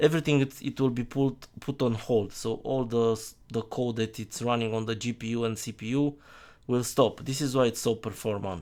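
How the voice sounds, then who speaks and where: He speaks with a non-native accent. The man's intonation is fairly even. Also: medium pitch for a man, moderate pace. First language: not English. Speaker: software developer. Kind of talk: tutorial. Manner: halting.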